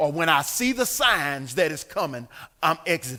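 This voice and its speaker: Animated, with a bright, sharp tone, a man speaks at a moderate pace, his fairly high voice making very wide pitch swings. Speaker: pastor. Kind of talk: bible study teaching. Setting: church.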